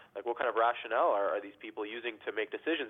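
A man speaks very fast at a medium pitch. His pitch varies in an ordinary way. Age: 20s. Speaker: caller. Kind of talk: phone-in call. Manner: halting, many fillers.

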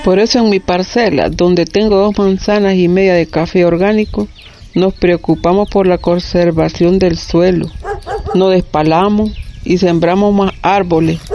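Intonation stays fairly even and the pace fairly slow. Noticeable background noise is present throughout. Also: woman, medium pitch for a woman, very even loudness. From Nicaragua, Estelí. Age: 50s. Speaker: coffee farmer. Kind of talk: testimony.

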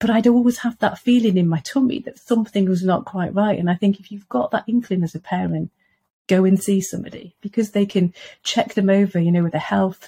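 With a Welsh accent, the speaker talks at a fairly quick pace, somewhat breathy and dark and mellow in tone, with ordinary pitch variation and a dry, close sound with no echo. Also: woman. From Wales. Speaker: parent of eating disorder patient, author. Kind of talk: casual interview chat.

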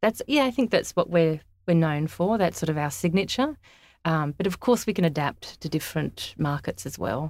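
This woman has a fairly low voice and an Australian accent. Her intonation is lively. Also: moderate pace, very clean recording, silent background. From Australia, Sydney and country New South Wales. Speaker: interior designer. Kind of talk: casual interview.

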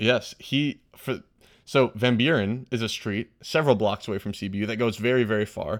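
A man with a fairly low pitch talks in a plain, everyday voice with fairly even intonation. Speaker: podcast co-host, college student. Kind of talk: casual chat.

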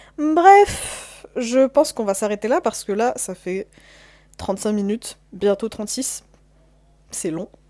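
A woman with a dark, mellow tone speaks at a very slow pace with long, frequent pauses. Her intonation is lively, with big swings in loudness. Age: young. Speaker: podcaster, university student. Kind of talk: casual solo monologue. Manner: hesitant, many fillers.

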